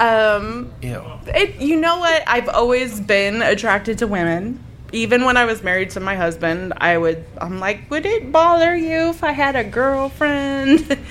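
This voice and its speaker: Over noticeable background noise, a woman speaks at a high pitch with very wide pitch swings and hardly any pauses. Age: 40s. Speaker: podcaster. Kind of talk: casual chat. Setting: live recording with audience.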